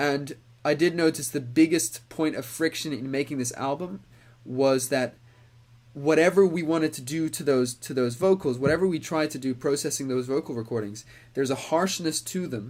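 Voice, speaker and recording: Recorded very cleanly against a silent background, a man speaks at a moderate pace with a fairly high pitch and ordinary pitch variation. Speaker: musician and producer. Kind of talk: casual livestream chat. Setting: livestream. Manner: hesitant, many fillers.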